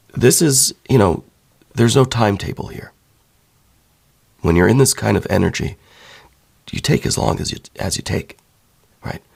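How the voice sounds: Putting on a character voice, a hoarse man of medium pitch talks at a moderate pace, leaving long, frequent pauses.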